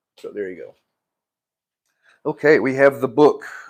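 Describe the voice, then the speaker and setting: At a moderate pace, a man delivers his words. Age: 60s. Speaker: YouTuber, live streamer. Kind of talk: casual chat. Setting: live stream at home.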